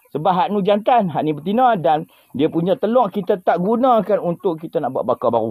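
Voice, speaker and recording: A man with a Kedah accent and a high pitch, his pitch swinging very widely. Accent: northern Malay (Kedah) dialect, unchanged. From Kedah, northern Peninsular Malaysia. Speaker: farm vlogger. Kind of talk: casual vlog talk.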